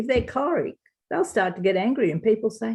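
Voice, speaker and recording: A woman's dark, mellow tone with an Australian accent and ordinary pitch variation. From Australia, Wagga Wagga NSW. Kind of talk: interview.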